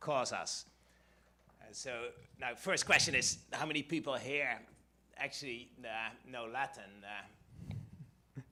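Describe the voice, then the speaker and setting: A man with a Dutch accent speaks at a very slow pace, his medium-pitched voice bright and sharp in tone with ordinary pitch variation. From Netherlands. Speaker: economics professor. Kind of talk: conference talk. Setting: stage with audience. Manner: halting, many fillers and restarts.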